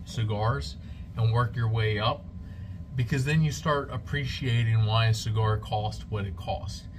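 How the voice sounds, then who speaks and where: In audible room echo, a man speaks at a medium pitch and a fairly slow pace. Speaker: cigar reviewer and cigar shop salesman. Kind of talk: product review to camera. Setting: cigar shop, alone on camera. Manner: halting, self-described stuttering on camera.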